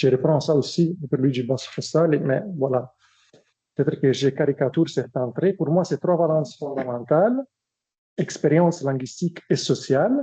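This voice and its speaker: Somewhat breathy and fairly high in pitch, a man with an Italian accent keeps a very even loudness and a dark, mellow tone. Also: ordinary pitch variation, moderate pace. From Italy. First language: Italian (speaking French). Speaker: academic researcher. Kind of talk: lecture. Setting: seminar with audience. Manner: hesitant, many fillers.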